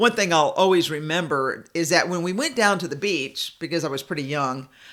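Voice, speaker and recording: With a Southern US accent, a woman speaks using lively intonation. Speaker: podcast host and public speaking coach. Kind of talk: inspirational talk reading from own writing.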